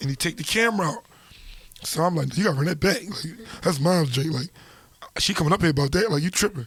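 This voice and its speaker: Through noticeable background noise, a man with a high pitch talks very fast but with long, frequent pauses and ordinary pitch variation. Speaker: rapper. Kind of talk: casual interview. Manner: animated.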